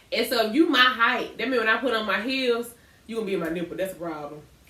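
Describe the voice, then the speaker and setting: A woman's fairly high, animated voice with lively intonation, with audible room echo and noticeable background noise. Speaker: podcast co-host. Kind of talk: casual chat. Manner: loud.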